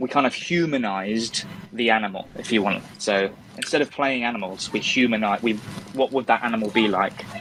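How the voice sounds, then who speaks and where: Over noticeable background noise, a man with a West Country accent talks fairly quickly at a medium pitch, with ordinary pitch variation. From West Country, England. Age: 30s. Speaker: stage actor. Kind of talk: interview.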